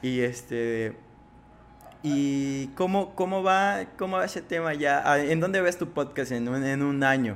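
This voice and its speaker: At a very slow pace, a man speaks at a fairly high pitch. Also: lively intonation. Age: 20s. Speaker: podcast host. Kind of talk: interview.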